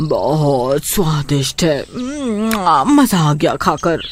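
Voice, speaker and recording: A cartoonish character voice at a middle pitch, speaking at a very slow pace. Clear background noise runs behind it. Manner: greedy, bossy.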